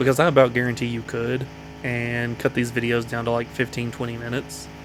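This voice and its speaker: Music plays in the background as a man of medium pitch speaks at a fairly quick pace in an American accent, his intonation monotone and flat. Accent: slight Southern accent, consciously reduced. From US South, Appalachian foothills. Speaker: gaming YouTuber. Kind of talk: let's play commentary.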